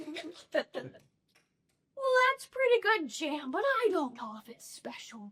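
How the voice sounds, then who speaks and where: Using a put-on character voice, a woman speaks at an extremely high pitch and a fairly slow pace, with very wide pitch swings and long, frequent pauses. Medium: stage play. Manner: gruff, greedy.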